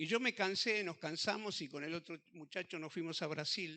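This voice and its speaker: This man has a high voice with a bright, sharp tone and talks at a moderate pace. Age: 60s. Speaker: pastor. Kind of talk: testimony.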